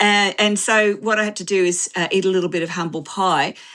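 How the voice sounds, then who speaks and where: The speaker has an Australian accent and a fairly quick pace. The background is quiet. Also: woman. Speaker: author and systems researcher. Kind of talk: interview. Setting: live online video interview. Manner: halting, many fillers.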